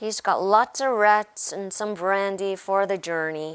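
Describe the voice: Put-on character voice at a middle pitch and a fairly slow pace, on a very clean recording with a silent background. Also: female-sounding voice.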